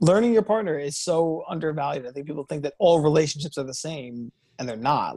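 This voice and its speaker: A man talks in an animated tone at a fairly quick pace, his pitch fairly high with ordinary variation. The recording is very clean, with a silent background. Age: 30s. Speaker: dating coach. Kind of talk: casual chat.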